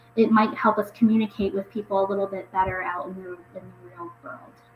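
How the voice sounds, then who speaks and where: Noticeable background noise sits behind a woman speaking with an American accent. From US Midwest. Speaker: YouTuber. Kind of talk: casual livestream chat. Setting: livestream. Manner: casual, filler-heavy.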